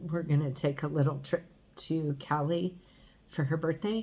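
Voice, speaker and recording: A woman's very deep, low pitch, somewhat breathy. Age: 50s. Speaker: vlogger. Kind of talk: personal video diary. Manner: halting.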